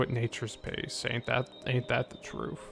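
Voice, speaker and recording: A man is talking, and noticeable background noise comes through. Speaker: video game streamer. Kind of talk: live gameplay commentary. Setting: live stream.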